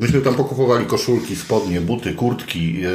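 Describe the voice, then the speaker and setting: A man talks amid noticeable background noise, and room echo is audible. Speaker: podcast host. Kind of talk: casual chat.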